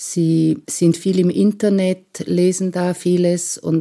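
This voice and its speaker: Her tone comes across dark and mellow. The woman's pitch sits in the medium range. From eastern Switzerland, Lake Constance (Romanshorn). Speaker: midwife. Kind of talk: interview.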